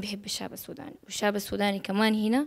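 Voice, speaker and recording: This woman speaks with a fairly high pitch. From Saudi Arabia (Jeddah and Riyadh), Sudanese family. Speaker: actress. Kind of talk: interview. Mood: calm, warm. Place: home room. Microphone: handheld.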